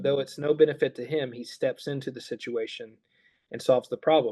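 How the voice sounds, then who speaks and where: A man with a plain, everyday voice, fairly high in pitch, with fairly even intonation. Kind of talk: interview answer explaining Bible.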